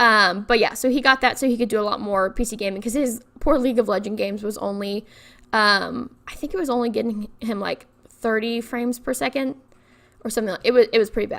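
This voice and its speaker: A woman speaks very fast with ordinary pitch variation and a fairly high pitch. The recording is very clean, with a silent background. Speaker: YouTuber, Sims speed builder. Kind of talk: casual chat over gameplay. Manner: stumbling over words.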